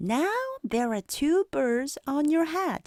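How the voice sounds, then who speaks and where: At a very slow pace, someone performs a high-pitched put-on character voice. The recording is very clean, with a silent background. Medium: read story. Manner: calm, matter-of-fact.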